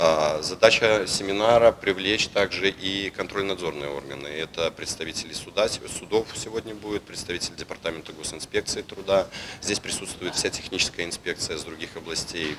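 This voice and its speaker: A man talks at a moderate pace with a very deep, low pitch. His pitch varies in an ordinary way, and there is noticeable background noise. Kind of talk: interview answer. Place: hall.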